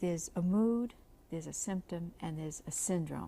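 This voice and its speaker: At a moderate pace, a woman with a fairly low pitch speaks in a dark, mellow, somewhat breathy tone with ordinary pitch variation. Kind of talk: interview. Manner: soft-spoken.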